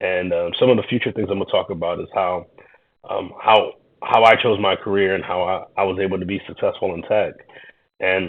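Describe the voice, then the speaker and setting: This man speaks at a fairly quick pace with a New York accent. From Queens, New York, Haitian-American. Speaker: YouTuber reacting to videos, tech worker. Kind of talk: reaction commentary. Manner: hesitant, many fillers and repetitions.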